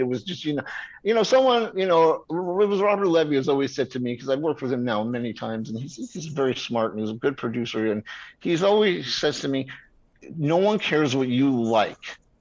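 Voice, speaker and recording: A man with an American accent speaks at a fairly quick pace against a quiet background. His fairly high voice moves in very wide pitch swings. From New York. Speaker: screenwriter. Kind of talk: casual interview.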